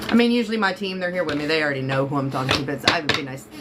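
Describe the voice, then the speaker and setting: Amid noticeable background noise and audible room echo, a woman with a very deep, low pitch speaks with lively intonation. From Florida. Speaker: psychic reader. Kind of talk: live-stream tarot reading. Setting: live stream. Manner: fast; casual, chatty.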